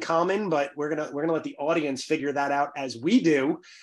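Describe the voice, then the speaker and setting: Music plays behind a man with a New York accent who talks at a fairly quick pace. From New York City, Bronx. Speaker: podcast host. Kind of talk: interview podcast.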